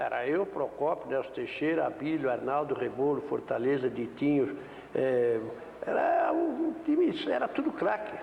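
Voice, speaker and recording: Over noticeable background noise, a man speaks at a fairly slow pace with very even loudness. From Brazil, São Paulo state. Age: 70s. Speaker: former football goalkeeper. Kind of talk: interview.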